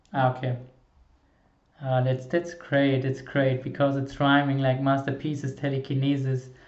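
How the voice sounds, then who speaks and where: A man's monotone, flat delivery in a non-native accent. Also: fairly high pitch for a man, moderate pace. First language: not English. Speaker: music reaction YouTuber. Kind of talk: reaction video commentary. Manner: halting, many repetitions and fillers.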